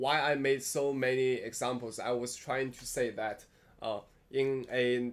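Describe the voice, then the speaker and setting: A man speaks at a fairly slow pace in a medium pitch. He talks with a Chinese accent. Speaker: philosophy video host. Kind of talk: monologue lecture. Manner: halting, many fillers and restarts.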